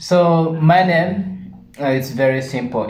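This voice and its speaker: In a room with audible echo, a man with a Ugandan accent speaks at a very slow pace. His somewhat breathy voice carries lively intonation. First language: Ateso. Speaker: channel co-host. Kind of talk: casual chat.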